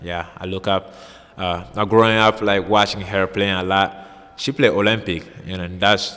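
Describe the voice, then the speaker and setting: A man's fairly low voice comes at a moderate pace in a flat monotone. Noticeable background noise sits behind him. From Mali. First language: French and Bambara. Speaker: college basketball player. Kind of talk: interview. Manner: halting.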